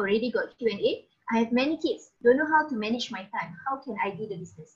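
A woman talks with lively intonation. Her pitch is high. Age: 40s. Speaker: entrepreneur. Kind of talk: sales pitch. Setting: video call. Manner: animated.

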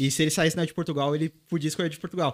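A very fast-talking man at a fairly high pitch, in dry, close sound with no echo and a very clean, silent-background recording. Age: 20s. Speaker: football content creator. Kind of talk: casual interview chat.

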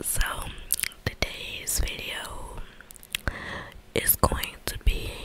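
A woman whispers at a very slow pace, her speech broken by long, frequent pauses. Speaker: ASMR creator. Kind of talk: ASMR whispering and rambling to camera. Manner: whispered, soft. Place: home room. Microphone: handheld.

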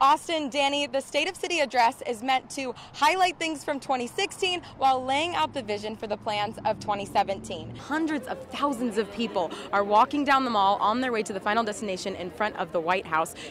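A woman talks in a high pitch with very wide pitch swings at a moderate pace, hardly pausing at all. The sound is dry with no echo, and background noise is noticeable. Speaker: news anchor and reporter. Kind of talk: newsreading, TV news anchor and reporter delivery. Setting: TV news studio. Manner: polished, formal, crisp broadcast delivery.

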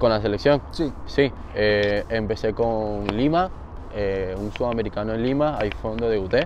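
A man at medium pitch and moderate pace, ordinary pitch variation, noticeable background noise behind him. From Venezuela, Barquisimeto (Lara). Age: 20s. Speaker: baseball player. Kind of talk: interview. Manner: halting, with repetitions.

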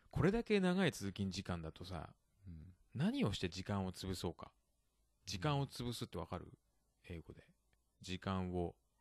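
Very deep, low pitch from a man at a moderate pace, with ordinary pitch variation, big swings in loudness and long, frequent pauses, in a dry, close sound with no echo. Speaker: podcast host. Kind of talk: casual bilingual chat teaching vocabulary. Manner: laughs often.

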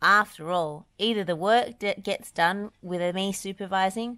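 A plain reading aloud, its pitch varying in an ordinary way

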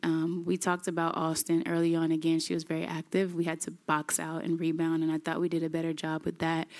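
A woman's very fast, monotone, flat delivery at a fairly low pitch against a quiet background. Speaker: basketball head coach. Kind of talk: interview answer. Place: hall. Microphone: podium.

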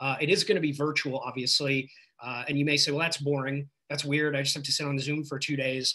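Over a quiet background, a man speaks with a bright, sharp tone. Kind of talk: announcement on a group call. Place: home room. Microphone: video call.

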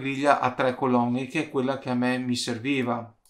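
This man speaks at a medium pitch. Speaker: YouTuber, DIY 3D printing maker. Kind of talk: tutorial. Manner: casual, with frequent hesitations.

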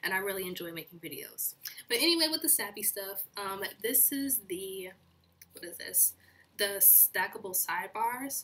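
With ordinary pitch variation, a woman delivers her words at a moderate pace. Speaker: planner hobby vlogger. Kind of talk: casual haul chat.

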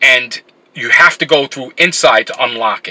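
A man is talking. His pace is fairly slow. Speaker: vlogger. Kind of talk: casual vlog chat. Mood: frustrated, annoyed. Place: car. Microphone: phone near.

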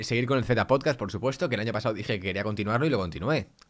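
Very fast, lively intonation from a man with a fairly low pitch, against a quiet background. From Spain. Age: 20s. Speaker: YouTuber. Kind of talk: casual vlog talk to camera. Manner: animated. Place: home room. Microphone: studio mic.

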